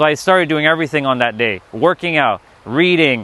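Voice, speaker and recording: A fairly high-pitched man's bright, sharp voice with ordinary pitch variation, dry and close with no echo. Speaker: spiritual livestreamer. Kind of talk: livestream talk. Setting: livestream. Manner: casual, filler-heavy.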